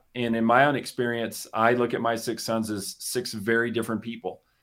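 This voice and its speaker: On a very clean recording with a silent background, a man speaks at a moderate pace and medium pitch in a normal speaking voice. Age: 50s. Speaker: business coach. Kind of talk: casual chat. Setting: studio.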